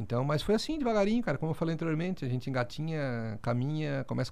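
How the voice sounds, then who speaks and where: With a fairly high pitch and lively intonation, a man rattles along at a very fast pace. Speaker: podcast co-host. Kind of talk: casual chat. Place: meeting room. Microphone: studio mic.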